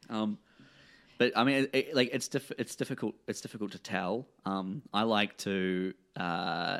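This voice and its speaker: Here a man talks with a New Zealand accent and ordinary pitch variation. The recording is very clean, with a silent background. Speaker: comedy promoter and comedian. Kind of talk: casual chat.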